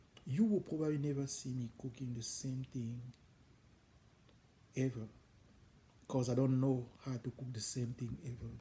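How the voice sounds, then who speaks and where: A somewhat breathy man's voice at medium pitch, dark and mellow in tone, fairly slow, with a non-native accent. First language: French. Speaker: home cook, cooking channel host. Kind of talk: casual channel introduction talk. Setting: home kitchen. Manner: hesitant, with fillers.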